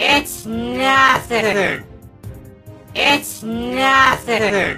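Faint music plays behind a man doing a put-on character voice at an extremely high pitch, with a robotic, processed sound, a bright, sharp tone, ordinary pitch variation and a very slow pace.

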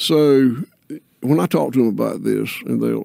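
A man speaks over a quiet background. The sound is dry, with no echo. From US South. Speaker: regenerative farmer; podcast guest. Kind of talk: podcast conversation. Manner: slow, deliberate. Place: studio. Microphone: studio mic.

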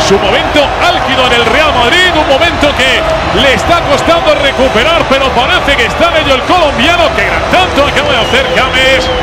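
Over noticeable background noise, a man with an extremely high pitch sounds excited and animated, with ordinary pitch variation and very even loudness. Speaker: football commentator. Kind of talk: live football commentary. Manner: fast, excited, animated play-by-play delivery; rapid-fire, clipped short phrases.

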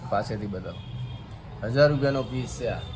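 The speaker uses ordinary pitch variation, and the recording has audible room echo. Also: man. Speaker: saree shop owner. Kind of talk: sales pitch. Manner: animated.

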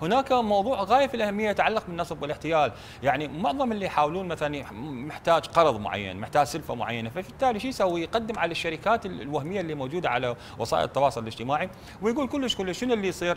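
The speaker races along at a very fast pace with hardly any pauses and very wide pitch swings over light background noise. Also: man, high pitch for a man. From Iraq. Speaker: digital policy expert; guest. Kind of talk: TV talk show discussion. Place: studio. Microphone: lapel.

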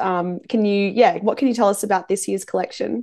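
A woman with an Australian accent and a dark, mellow tone, quiet background. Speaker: music interviewer. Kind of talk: interview. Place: home room. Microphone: video call.

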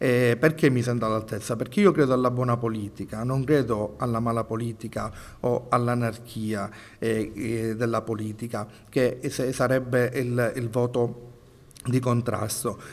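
A man's medium-pitched voice, fairly slow in pace, with fairly even intonation. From Sicily. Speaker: politician; candidate. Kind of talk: interview. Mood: earnest, persuasive. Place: studio. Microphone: handheld.

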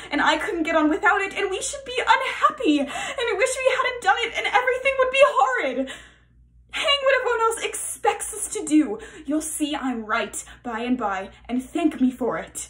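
Her pitch swings very widely as the woman talks at a moderate pace. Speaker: actor doing an audition self-tape. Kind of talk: acted dramatic monologue. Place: home room. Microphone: phone near.

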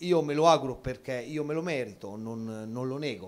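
Light background noise sits under the voice. The pitch varies in an ordinary way. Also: man. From Città di Castello, Umbria; Umbria. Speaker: football coach. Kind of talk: TV sports talk show. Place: hall. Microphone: handheld.

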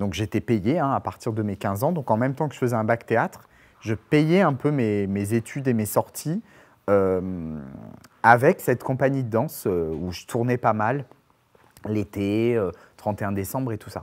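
A man's medium-pitched voice with lively intonation, at a fairly slow pace. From Perpignan, southern France; France. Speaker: actor, dancer and playwright; actor. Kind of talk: casual interview chat. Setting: studio. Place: studio. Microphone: lapel.

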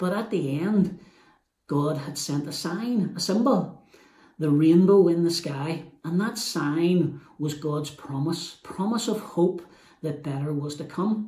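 A man speaks at a slow pace with a fairly high pitch and ordinary pitch variation. His tone is dark and mellow, with audible room echo.

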